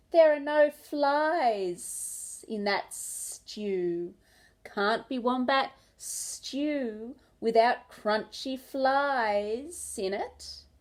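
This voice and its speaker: A woman puts on a hissing character voice, high in pitch. She speaks at a very slow pace against a quiet background. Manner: hissing, teasing.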